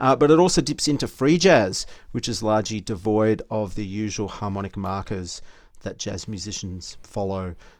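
In an Australian accent, a man speaks at a fairly low pitch with lively intonation on a very clean recording with a silent background. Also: big swings in loudness. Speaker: podcast co-host. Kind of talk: casual chat.

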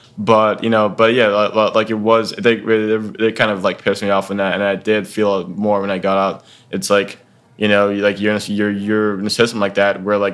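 A man with an American accent speaks at a fairly quick pace and a fairly low pitch. His intonation is monotone and flat. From Texas, Dallas. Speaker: army veteran and university student. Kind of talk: casual interview. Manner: halting, many fillers.

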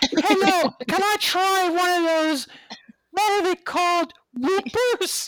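At a fairly slow pace, the speaker performs a put-on character voice pitched extremely high. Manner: comic, playful.

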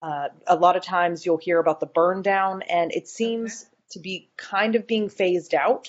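A woman with an American accent has an unremarkable speaking voice at medium pitch. Her intonation stays fairly even, and she goes at a fairly slow pace. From US South, North Carolina (Boone). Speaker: scrum master. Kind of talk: interview.

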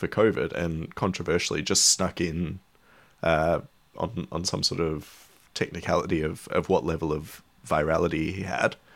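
In a very clean recording with a silent background, a man with an Australian accent speaks at a very deep, low pitch. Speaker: cycling journalist. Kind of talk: casual chat.

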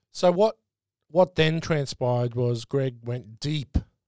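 A man's dark, mellow voice with an Australian accent and ordinary pitch variation, in a dry, close sound with no echo. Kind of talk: casual chat. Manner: casual, joking.

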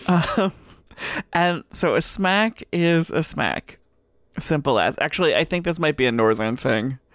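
Vocal fry runs through this fairly slow delivery, with lively intonation and very even loudness. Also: woman, fairly low pitch for a woman. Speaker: podcast co-host and game designer. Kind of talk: casual chat.

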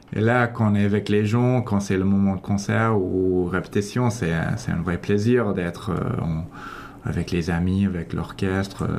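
A man's fairly low voice at a fairly slow pace, with very even loudness, fairly even intonation and noticeable background noise. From Toronto, Canada. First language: English (speaking French). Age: 30s. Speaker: orchestra conductor. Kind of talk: radio interview. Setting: radio studio.

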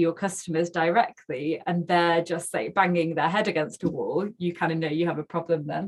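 With a Mancunian accent, a woman speaks at a moderate pace in a fairly low voice with fairly even intonation. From northern England, Manchester. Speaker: tech startup founder and CEO. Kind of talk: casual interview.

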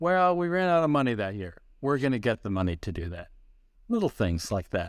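A man with an American accent at a moderate pace, his pitch swinging very widely, on a very clean recording with a silent background. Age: 60s. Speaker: pastor and ministry founder. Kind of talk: interview.

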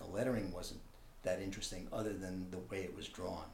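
With an American accent, a man speaks with ordinary pitch variation amid audible room echo. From New York City (Manhattan). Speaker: visual artist. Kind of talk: interview. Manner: halting.

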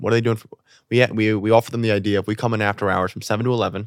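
A man with a New York accent talks at a very fast pace, his pitch in the medium range. The sound is dry and close, with no echo. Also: very clean recording, silent background. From New York City. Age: 20s. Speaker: comedy show producer. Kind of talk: casual chat.

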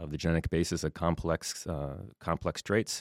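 In a very clean recording with a silent background and a dry, close sound with no echo, a man with an American accent speaks in a very deep, low, flat monotone. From southwest Minnesota. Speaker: soybean breeding professor. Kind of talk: interview.

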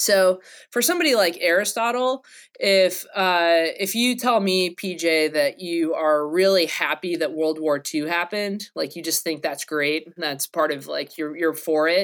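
A woman with an American accent speaks at a fairly low pitch and a fairly slow pace, with ordinary pitch variation and an unremarkable speaking voice. The recording is very clean with a silent background. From North Carolina. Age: 30s. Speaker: philosophy professor. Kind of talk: casual academic interview.

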